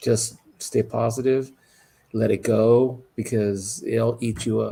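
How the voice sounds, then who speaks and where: This man's voice is somewhat breathy and medium-pitched, with a dark, mellow tone, fairly even intonation and a very slow pace. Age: 60s. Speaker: livestream host. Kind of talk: casual chat.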